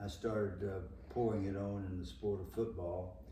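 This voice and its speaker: A man speaks at a moderate pace with a fairly low pitch. Room echo is audible, and there is noticeable background noise. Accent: Southern US. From US South. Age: 80s+. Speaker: former football player and coach. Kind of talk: interview.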